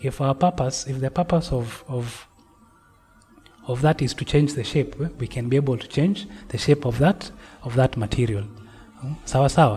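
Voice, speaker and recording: Music plays in the background. A man talks at a moderate pace and medium pitch, with ordinary pitch variation. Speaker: lecturer. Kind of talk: online lecture. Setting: video call. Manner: halting, with repetitions.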